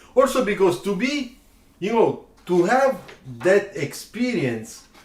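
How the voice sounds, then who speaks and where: The pace is very slow, with lively intonation. Noticeable background noise runs underneath. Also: man, high pitch for a man. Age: 60s. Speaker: car designer and drawing teacher. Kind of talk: live stream chat.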